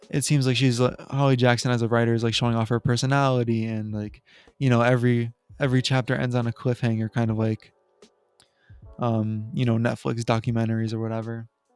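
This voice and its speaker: Music plays behind a man who talks very fast in a flat, monotone way. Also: medium pitch for a man. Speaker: book reviewer / video creator. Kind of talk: casual monologue book review. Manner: halting, many fillers and restarts.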